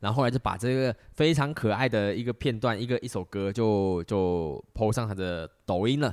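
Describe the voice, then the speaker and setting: A man at a medium pitch with ordinary pitch variation, moderate pace and hardly any pauses, in a dry, close sound with no echo. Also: very clean recording, silent background. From Malaysia. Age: 30s. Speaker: podcast host. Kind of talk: solo monologue podcast. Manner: many filler words.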